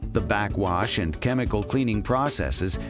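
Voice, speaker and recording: Music plays behind the speaker. A man talks, his pitch swinging very widely. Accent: American. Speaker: voice actor. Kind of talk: corporate narration.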